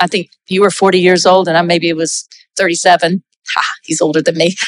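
The voice, with an American accent, has a dry, close sound with no echo. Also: woman. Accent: Southern US, audible to Canadian listeners. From US South, South Carolina. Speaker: pastor, former missionary. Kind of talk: church testimony and encouragement. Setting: church with congregation.

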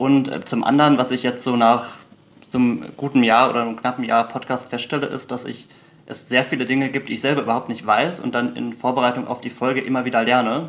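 Speaking very fast, a man keeps a medium pitch in a monotone, flat intonation. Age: 20s. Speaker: law student and podcast host. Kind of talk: interview. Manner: halting with frequent fillers.

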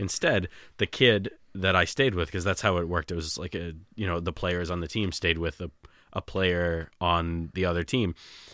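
With an American accent, a man speaks at a moderate pace in a very deep, low pitch with fairly even intonation and a bright, sharp tone. The recording is very clean, with a silent background. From Malden, Massachusetts. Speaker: sports fan. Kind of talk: casual chat. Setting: studio.

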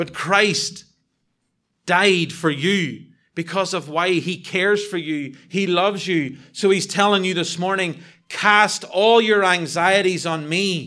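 A man's high-pitched voice, bright and sharp in tone, with a Northern Irish accent, fairly even intonation, a very slow pace and audible room echo. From Northern Ireland. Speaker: visiting preacher. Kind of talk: sermon. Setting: church.

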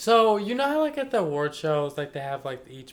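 A man's lively intonation comes through as he talks at a fairly quick pace. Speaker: podcast co-host. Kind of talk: casual chat. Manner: stumbles over words.

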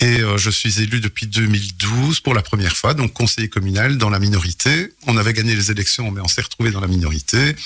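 A man speaks in a normal speaking voice at a moderate pace. His pitch is fairly low, with ordinary pitch variation. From Belgium, Charleroi region (Hainaut). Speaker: mayor. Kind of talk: radio interview. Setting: radio studio.

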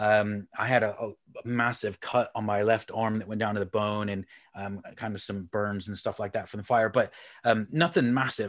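Someone talks at a moderate pace in a plain, everyday voice with fairly even intonation. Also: man, fairly low pitch for a man. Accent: American. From Houston, Texas. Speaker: sales speaker and coach. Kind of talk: casual interview chat.

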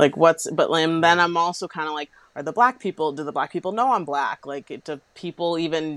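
A woman talks at a fairly quick pace, her voice dry and close with no echo. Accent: American. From Boston, US. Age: 20s. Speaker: dance teacher and book influencer. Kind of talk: casual chat.

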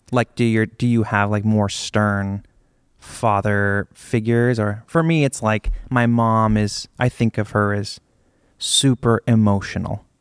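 Recorded very cleanly against a silent background with a dry, close sound and no echo, a man with a normal speaking voice and a fairly low pitch speaks with an American accent in fairly even intonation. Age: 30s. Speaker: drummer. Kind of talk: interview on stage. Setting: stage with audience.

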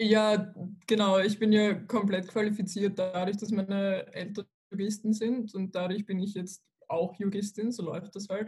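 In a somewhat breathy voice at medium pitch, a woman speaks with monotone, flat intonation. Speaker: university student. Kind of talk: casual chat.

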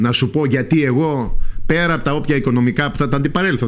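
The speech comes at a very fast pace. Noticeable background noise sits behind it. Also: man. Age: 60s. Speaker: parliamentary candidate. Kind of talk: radio interview. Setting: radio studio.

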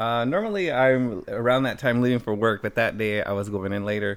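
Here a man speaks at a fairly quick pace. His medium-pitched voice is an unremarkable speaking voice. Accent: American. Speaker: guest cousin. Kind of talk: casual chat. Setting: studio.

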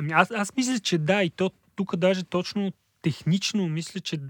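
A man speaks at a moderate pace with ordinary pitch variation. The sound is dry and close with no echo, in a very clean recording with a silent background. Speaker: data and text analysis specialist. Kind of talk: casual chat.

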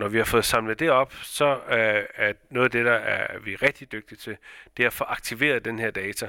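A man with a medium pitch and a bright, sharp tone speaks with fairly even intonation, the sound dry and close with no echo in a very clean recording with a silent background. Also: moderate pace. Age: 40s. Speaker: company founder and director. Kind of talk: interview. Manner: halting, many fillers.

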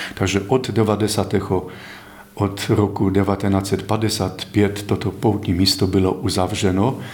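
In a Polish accent, the speaker talks at a very slow pace, with monotone, flat intonation and very even loudness. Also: man, fairly low pitch for a man. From Poland. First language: Polish (speaking Czech). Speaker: priest, rector of a pilgrimage site. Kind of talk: interview and guided tour. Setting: on location at a pilgrimage site.

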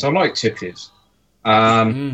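A man speaks with an English accent. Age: 50s. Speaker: mod maker. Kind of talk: casual chat. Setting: video call.

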